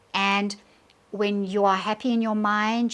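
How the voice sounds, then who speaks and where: A woman with a South African accent, moderate in pace and flat in monotone, in a very clean recording with a silent background. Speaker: tarot reader. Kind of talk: tarot reading to camera.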